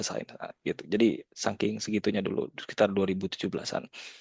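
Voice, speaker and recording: Speaking fairly quickly, a man uses a fairly low pitch. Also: dry, close sound with no echo. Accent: slight Padang. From West Sumatra, Indonesia. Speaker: data scientist, guest speaker. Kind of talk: informal sharing-session talk. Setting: video call. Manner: casual, with many fillers.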